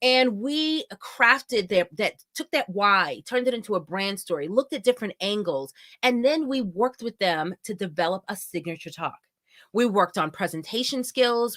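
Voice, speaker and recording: A woman's loud, animated voice moves at a moderate pace with very wide pitch swings, recorded dry and close with no echo, very clean, against a silent background. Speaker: event host and company founder. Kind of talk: live event introduction. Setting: live virtual event stream.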